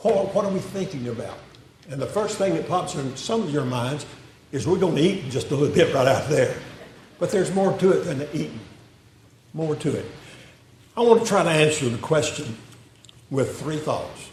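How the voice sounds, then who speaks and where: In a Southern US accent, a man with a fairly high pitch and lively intonation speaks at a moderate pace with long, frequent pauses, amid audible room echo and noticeable background noise. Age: 80s+. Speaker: retired pastor. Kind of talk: sermon. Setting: church.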